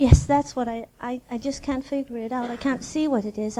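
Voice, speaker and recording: Amid noticeable background noise, a woman with a Danish accent speaks at a high pitch and fairly quick pace, with ordinary pitch variation. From Denmark. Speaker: seminar participant. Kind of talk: personal testimony. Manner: halting.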